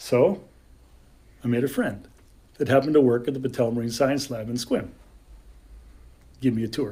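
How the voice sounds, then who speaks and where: A man talks with an American accent. His pace is fairly quick. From California. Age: 60s. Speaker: storyteller. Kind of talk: storytelling. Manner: animated.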